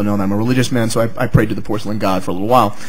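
A man is speaking. Audible room echo and noticeable background noise are present. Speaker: psychology professor. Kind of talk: academic talk. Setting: symposium with live audience. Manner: storytelling.

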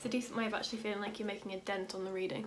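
Light background noise accompanies a woman speaking in a monotone, flat intonation. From Yorkshire, England. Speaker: law student. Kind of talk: casual talk to camera. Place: home room. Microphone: phone near.

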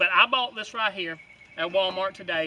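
A man speaks in a bright, sharp tone. The sound is dry with no echo, though background noise is noticeable. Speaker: product reviewer. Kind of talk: casual product review. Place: open country.

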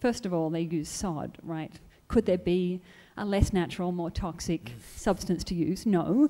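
Lively in intonation, a woman speaks at a moderate pace with a fairly low pitch and a dark, mellow tone. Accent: Australian. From Australia. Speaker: audience member. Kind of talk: audience Q&A. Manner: animated.

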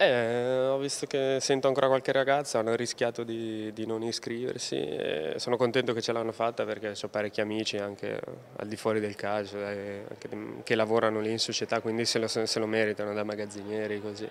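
Fairly quick speech from a man at a medium pitch with fairly even intonation, against noticeable background noise. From Brescia, northern Italy. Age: 30s. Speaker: professional footballer. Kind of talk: interview.

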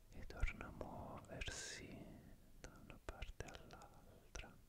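A man's voice comes through in a whisper. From Italy. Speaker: ASMR content creator. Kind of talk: ASMR visual trigger session. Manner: soft-spoken, slow. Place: home room. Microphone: studio mic.

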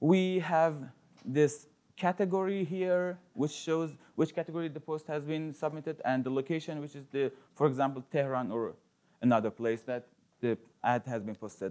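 With a dark, mellow tone, the voice moves at a moderate pace with ordinary pitch variation and big swings in loudness. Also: man. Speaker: conference speaker. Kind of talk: conference talk. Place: classroom.

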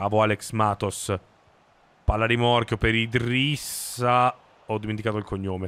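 The speech moves at a fairly slow pace, broken by long, frequent pauses. Its intonation stays monotone and flat. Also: man, fairly low pitch for a man. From South Tyrol, Italy; Italy. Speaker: gaming streamer. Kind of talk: live gameplay commentary. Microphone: studio mic.

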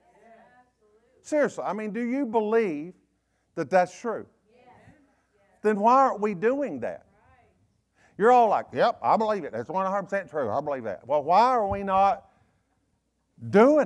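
With a Southern US accent, a man talks at a moderate pace in an animated tone and a high pitch, leaving long, frequent pauses. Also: lively intonation, quiet background. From US South. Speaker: pastor. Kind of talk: fiery, conversational Wednesday-night sermon scolding gossip. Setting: church. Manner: animated call-and-response preaching, repeating phrases for emphasis; blunt, confrontational, folksy with frequent self-corrections and stammered repeats. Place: church. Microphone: lapel.

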